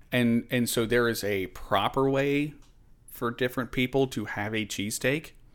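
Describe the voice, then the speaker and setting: With an American accent and an ordinary speaking voice, a man speaks at a moderate pace and medium pitch, keeping a fairly even intonation. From Richmond, Virginia, US. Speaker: navy veteran and meteorologist. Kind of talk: casual chat.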